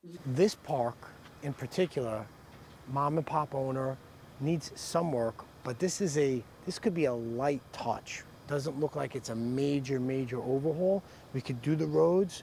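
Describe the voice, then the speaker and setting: A man with an ordinary speaking voice talks at a fairly slow pace. His pitch is fairly high. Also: ordinary pitch variation. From New York. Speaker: real estate investor. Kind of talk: casual explanation to camera.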